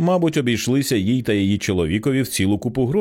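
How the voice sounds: Lively intonation in a natural reading voice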